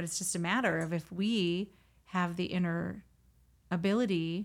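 Her voice is resonant and fairly low for a woman, with ordinary pitch variation. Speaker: spiritual podcast host and reverend. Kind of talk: solo spiritual monologue; event promotion.

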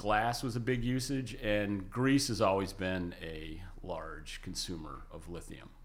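With an American accent, a man talks at a fairly slow pace with hardly any pauses, his fairly low voice showing ordinary pitch variation and big swings in loudness against audible room echo. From western New York State. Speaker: lithium industry consultant. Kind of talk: interview. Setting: studio.

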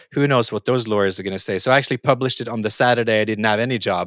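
In a Norwegian accent, a man speaks at a very fast pace and medium pitch, recorded very cleanly with a silent background and a dry, close sound with no echo. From Norway. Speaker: podcast host, futurist and author. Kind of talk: interview conversation.

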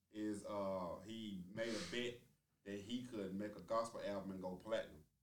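A man at a moderate pace, with audible room echo. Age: 30s. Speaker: podcast co-host. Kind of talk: casual debate chat.

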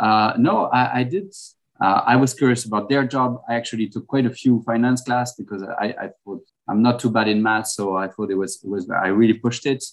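A man with a French accent at a fairly quick pace. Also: medium pitch for a man, ordinary pitch variation. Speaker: restaurant owner. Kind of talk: casual interview over lunch. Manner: halting, with fillers and repeats.

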